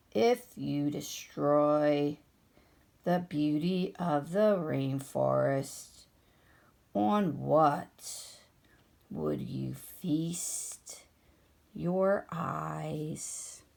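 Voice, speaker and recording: Putting on a character voice, a woman speaks at a very slow pace with a very deep, low pitch and long, frequent pauses. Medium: read story. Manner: lazy, slow.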